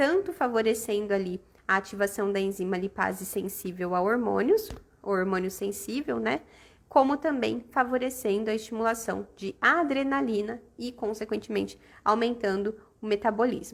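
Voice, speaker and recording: Here a woman talks at a fairly high pitch and moderate pace, with ordinary pitch variation. Hers is an unremarkable speaking voice. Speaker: aesthetics educator. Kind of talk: live-stream lecture. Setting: live stream.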